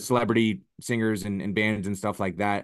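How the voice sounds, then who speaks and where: A man's fairly low voice at a very fast pace, with fairly even intonation over a quiet background. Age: 30s. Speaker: MMA striking coach. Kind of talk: casual chat.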